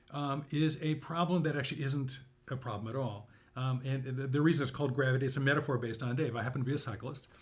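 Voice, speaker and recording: Somewhat breathy, the voice races along at a very fast pace with an American accent. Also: man, medium pitch for a man. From Southern California. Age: 60s. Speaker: university instructor and author. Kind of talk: interview conversation. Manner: animated.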